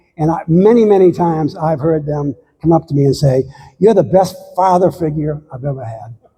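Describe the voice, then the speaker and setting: This man's voice has a dark, mellow tone and sits high in pitch, moving at a fairly quick pace with ordinary pitch variation. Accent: American. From United States. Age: 70s. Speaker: long-distance hiker. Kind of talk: slide talk to local audience. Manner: halting.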